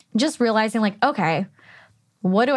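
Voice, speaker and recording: A woman's fairly high, fairly quick delivery in an American accent, an ordinary speaking voice. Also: quiet background. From California. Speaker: podcast host. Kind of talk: casual chat.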